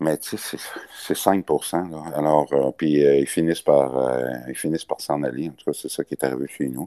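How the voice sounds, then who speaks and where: A man's very deep, low pitch and dark, mellow tone, with big swings in loudness, fairly even intonation, a moderate pace and a dry, close sound with no echo. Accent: Quebec. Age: 60s. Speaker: business association leader. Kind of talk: interview. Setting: remote call.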